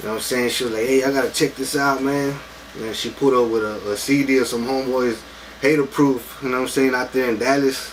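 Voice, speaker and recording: Against noticeable background noise, a man speaks very fast at a medium pitch with monotone, flat intonation. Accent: American. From Texas, Taft near Corpus Christi. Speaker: rapper. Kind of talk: casual interview.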